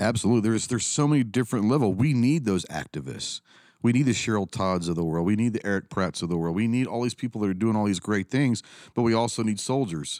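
A man with a Texan accent talks very fast in a fairly low voice with ordinary pitch variation, and the very clean, dry, close recording has a silent background and no echo. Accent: Texan American. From Texas, Dallas area. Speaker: firearms business owner and YouTuber, Marine veteran. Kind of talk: casual interview chat.

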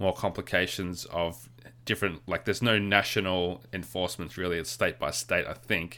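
A man with an Australian accent talks at a fairly quick pace in a bright, sharp tone and a fairly low pitch. The recording is very clean, with a silent background. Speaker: podcast co-host. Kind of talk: casual chat.

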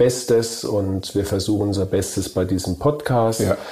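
A man at a medium pitch and a very slow pace over noticeable background noise. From Germany, Kurpfalz. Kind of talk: casual chat.

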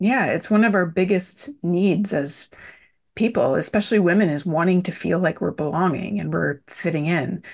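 Against a quiet background, a woman in a normal speaking voice with a fairly low pitch speaks at a moderate pace with ordinary pitch variation. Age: 40s. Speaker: business and well-being mentor. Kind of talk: interview.

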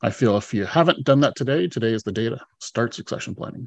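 A man with a Canadian accent talks at a fairly quick pace in a normal speaking voice, medium in pitch. His pitch variation is ordinary, and the background is quiet. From British Columbia, Canada. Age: 40s. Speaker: retired fire chief and executive coach. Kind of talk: interview conversation. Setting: remote from home.

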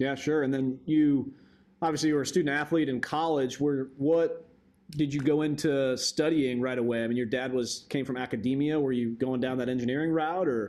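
With fairly even intonation, a plain, everyday voice talks fairly quickly. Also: man, fairly high pitch for a man, very clean recording, silent background. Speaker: podcast host. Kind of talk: interview.

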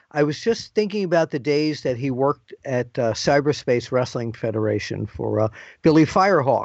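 This man talks at a moderate pace with a fairly high pitch and a plain, everyday voice. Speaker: wrestling journalist interviewer. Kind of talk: interview. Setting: phone call on assignment.

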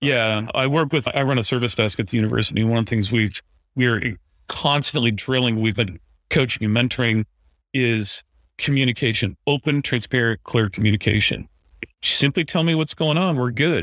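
A man talks at a medium pitch and a moderate pace, with ordinary pitch variation. His loudness is very even, and the recording is very clean with a silent background. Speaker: university IT director. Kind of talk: casual chat. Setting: in person at trade conference.

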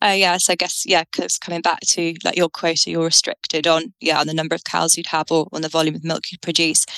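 A woman with a British accent, a fairly low pitch and a bright, sharp tone, in a dry, close sound with no echo. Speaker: dairy farmer and farm consultant. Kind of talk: interview.

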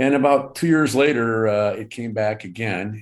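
In a Michigan accent, a man talks at a moderate pace with ordinary pitch variation against a quiet background. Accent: US Midwest (Michigan). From Michigan, Detroit suburbs. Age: 60s. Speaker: cancer survivor. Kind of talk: interview. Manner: halting, many fillers.

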